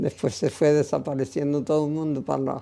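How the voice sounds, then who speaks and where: Her voice is very deep and low in pitch, with a dark, mellow tone. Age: 80s+. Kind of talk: interview answer.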